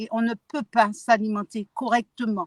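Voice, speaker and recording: Dry, close sound with no echo, from a woman in a fairly high pitch with flat, monotone intonation at a fairly slow pace. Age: 60s. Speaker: activist. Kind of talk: testimony.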